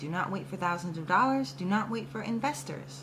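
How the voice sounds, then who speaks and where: Over noticeable background noise and audible room echo, a woman speaks at a fairly quick pace and a fairly low pitch. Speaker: musician vlogger. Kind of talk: motivational vlog talk. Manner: animated.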